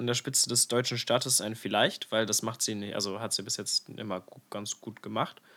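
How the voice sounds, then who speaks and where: A man with a bright, sharp tone races along at a very fast pace with hardly any pauses, on a very clean recording with a silent background. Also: big swings in loudness. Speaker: podcast co-host. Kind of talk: casual chat. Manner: radio-host style at times.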